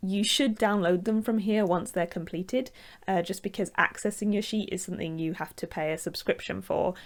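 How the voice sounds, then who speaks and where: On a very clean recording with a silent background, a woman with a northern English accent speaks at a fairly quick pace, medium in pitch with ordinary variation. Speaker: architect. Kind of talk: tutorial. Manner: casual, with fillers.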